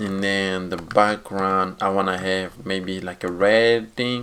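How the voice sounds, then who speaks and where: A man's fairly low voice with monotone, flat intonation. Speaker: coding tutorial youtuber. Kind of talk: tutorial. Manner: halting.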